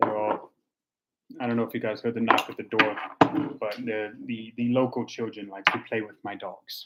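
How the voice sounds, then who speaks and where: A soft-spoken man talks at a moderate pace and medium pitch, his intonation monotone and flat. Long, frequent pauses break his speech, and his loudness swings widely. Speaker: tea reviewer livestreamer. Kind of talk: casual livestream tea tasting. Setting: home livestream. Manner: halting, many fillers; soft-spoken, talking quietly.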